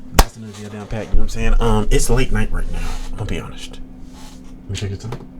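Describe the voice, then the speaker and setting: A man talks very fast. Background noise is noticeable. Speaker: reaction streamer. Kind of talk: casual chat. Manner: loud; animated.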